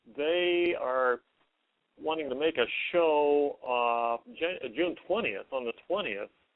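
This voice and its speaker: Speaking at a very slow pace, a man uses lively intonation and a fairly high pitch. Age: 60s. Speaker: caller, local activist. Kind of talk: call-in conversation. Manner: halting, hesitant.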